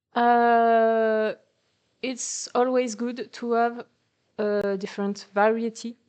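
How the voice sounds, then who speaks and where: A woman's fairly high voice in a non-native accent, very slow and monotone with flat intonation, against a quiet background. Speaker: artist. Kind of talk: presentation talk, unscripted. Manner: hesitant, many fillers.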